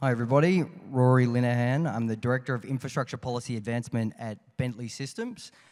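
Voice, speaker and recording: Very fast speech comes from a man with an Australian accent. His medium pitch stays fairly even, on a very clean recording with a silent background. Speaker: infrastructure policy director. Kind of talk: conference panel. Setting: stage with audience.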